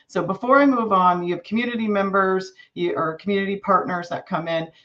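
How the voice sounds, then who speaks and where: A woman talks at a medium pitch. She shows ordinary pitch variation. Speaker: master gardener volunteer. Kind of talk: presentation. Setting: live online event.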